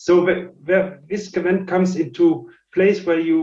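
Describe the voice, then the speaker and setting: Speaking fairly slowly with a French accent, a man uses a high pitch and ordinary pitch variation, with audible room echo around him. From France. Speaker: scientist and company founder. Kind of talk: lecture. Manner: halting, many fillers and repetitions.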